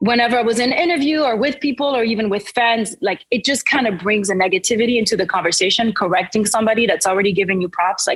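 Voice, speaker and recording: A woman with a French accent talks at a very fast pace, with hardly any pauses and very even loudness. Her fairly high, somewhat breathy voice shows ordinary pitch variation. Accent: French, milder than it used to be. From France, Paris suburbs (French-Caribbean family). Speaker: singer-songwriter. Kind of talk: interview. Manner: casual, many fillers.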